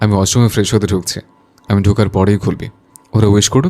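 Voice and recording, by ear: A natural voice reading aloud, the intonation fairly even throughout.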